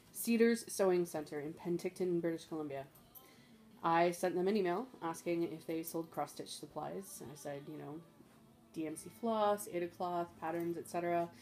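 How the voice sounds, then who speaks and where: Faint music plays behind a woman who speaks fairly low at a moderate pace, with ordinary pitch variation and big swings in loudness. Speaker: craft hobbyist vlogger. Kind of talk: casual vlog chat. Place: home room. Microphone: phone near.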